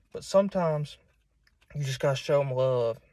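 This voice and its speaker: Very clean recording with a silent background. The speaker has lively intonation and a strong Southern US accent. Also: man. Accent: strong southern US, hillbilly. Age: 20s. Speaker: preacher. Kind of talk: informal sermon. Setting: self-recorded at home. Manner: halting, many repeats and fillers.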